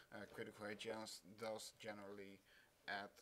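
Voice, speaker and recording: At a moderate pace, a man speaks with a fairly low pitch and a bright, sharp tone. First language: not English. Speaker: gaming video creator. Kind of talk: tutorial. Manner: halting, many fillers.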